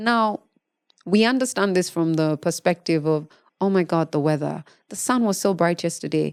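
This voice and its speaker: With a Ugandan accent, a woman speaks at a moderate pace in a fairly low pitch with ordinary pitch variation, in a very clean recording with a silent background and a dry, close sound with no echo. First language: Luganda. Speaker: podcast host. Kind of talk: podcast monologue on meditation.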